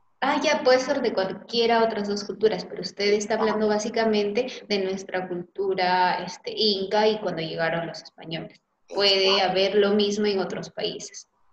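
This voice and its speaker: At a moderate pace, a woman with a medium-pitched voice and ordinary pitch variation speaks in an unremarkable speaking voice. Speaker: teacher playing a student. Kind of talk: classroom dialogue.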